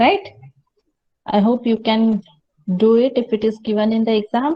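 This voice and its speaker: A woman speaks at a fairly high pitch, somewhat breathy, with very even loudness and fairly even intonation. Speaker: college lecturer. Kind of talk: lecture. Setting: classroom with students. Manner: slow.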